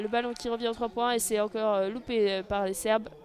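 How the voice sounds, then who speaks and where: A woman talks at a fairly high pitch with monotone, flat intonation. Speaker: audio-description sports commentator. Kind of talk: live commentary. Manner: fast; hesitant, many fillers.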